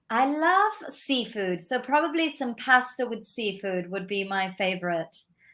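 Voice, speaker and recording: A woman with a British accent, fairly high pitch, very wide pitch swings, a fairly slow pace and hardly any pauses. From Milan, Italy. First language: Italian. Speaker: film critic and artist. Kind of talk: interview.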